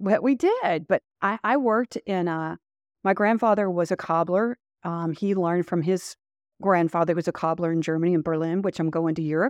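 The speaker has a slight Southern US accent. The sound is dry and close with no echo, and the background is quiet. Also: woman. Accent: slight Southern drawl. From Louisville, Kentucky. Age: 60s. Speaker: retired police chief. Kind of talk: interview.

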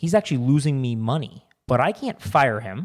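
In a very clean recording with a silent background, a man with an unremarkable speaking voice talks at medium pitch and a moderate pace. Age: 30s. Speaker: podcast co-host. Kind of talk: casual chat.

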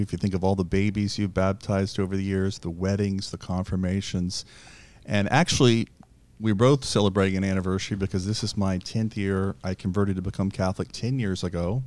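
A man talks at a fairly quick pace and fairly low pitch. He uses a normal speaking voice with fairly even intonation. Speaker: radio host. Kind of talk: interview.

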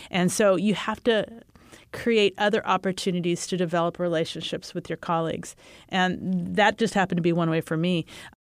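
Fairly low in pitch, a woman with a Texan accent speaks at a fairly quick pace with fairly even intonation. The sound is dry and close with no echo, in a very clean recording with a silent background. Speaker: school superintendent. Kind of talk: panel discussion.

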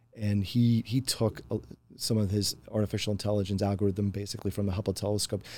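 A man speaks very fast in a dark, mellow tone. His loudness stays very even. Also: fairly low pitch for a man, fairly even intonation. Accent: Mid-Atlantic American. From rural Pennsylvania. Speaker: software solutions architect. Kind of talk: interview conversation. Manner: halting, many repeated words.

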